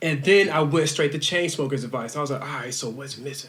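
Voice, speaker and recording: A man talking at a very fast pace in an animated tone, amid noticeable background noise. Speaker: musician, band frontman. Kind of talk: casual chat.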